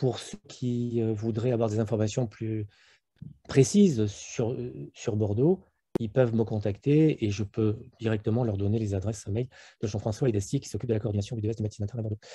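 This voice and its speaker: A man's somewhat breathy, dark, mellow voice with ordinary pitch variation, over a quiet background. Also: medium pitch for a man, fairly quick pace. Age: 60s. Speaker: internal medicine professor. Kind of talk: webinar panel discussion. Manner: hesitant, many fillers.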